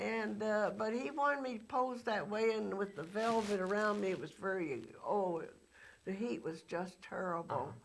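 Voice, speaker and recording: With an American accent, a woman speaks with lively intonation amid audible room echo. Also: medium pitch for a woman, moderate pace. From Texas. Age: 70s. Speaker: former actress and studio logo model. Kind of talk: interview. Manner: halting, many fillers.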